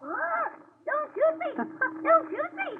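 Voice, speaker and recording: A put-on character voice pitched extremely high. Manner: panicked, pleading.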